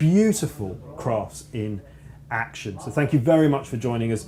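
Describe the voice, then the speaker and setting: The intonation is lively. Noticeable background noise is present. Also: man. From southern England. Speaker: motorsport commentator. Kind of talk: live commentary.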